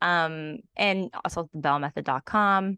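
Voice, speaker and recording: A woman with fairly low pitch has an unremarkable speaking voice and ordinary pitch variation. The sound is dry and close with no echo, over a quiet background. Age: 40s. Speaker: Pilates and pelvic health trainer. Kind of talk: casual interview.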